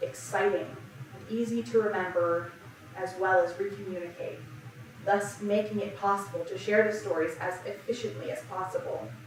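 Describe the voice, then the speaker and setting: Amid noticeable background noise, a woman talks at a moderate pace with big swings in loudness. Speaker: church sermon speaker. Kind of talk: sermon talk on religious storytelling.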